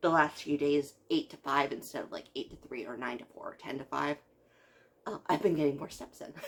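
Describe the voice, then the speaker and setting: Quiet and very deep in pitch, a woman speaks at a moderate pace. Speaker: video blogger. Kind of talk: casual vlog reaction. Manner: hesitant with many fillers.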